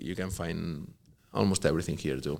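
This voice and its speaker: A man is speaking. His voice has vocal fry. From Spain, Catalonia (Barcelona). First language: Catalan/Spanish. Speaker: professional soccer player. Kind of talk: interview. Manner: halting, many fillers and repetitions.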